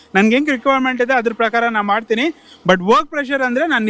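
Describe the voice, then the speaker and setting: A man speaks at an extremely high pitch with a bright, sharp tone. His pitch varies in an ordinary way. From Karnataka, Chitradurga district. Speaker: small factory owner. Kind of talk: interview.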